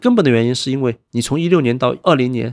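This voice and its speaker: Recorded very cleanly against a silent background, with a dry, close sound and no echo, a man of medium pitch talks at a very fast pace with lively intonation. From Wenzhou, Zhejiang, China. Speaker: fund manager. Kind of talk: interview. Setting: studio.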